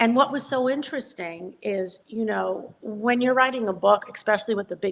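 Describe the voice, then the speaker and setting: The voice has a New York accent. Its pitch variation is ordinary. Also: woman. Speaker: psychic medium and author. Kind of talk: interview conversation. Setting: studio.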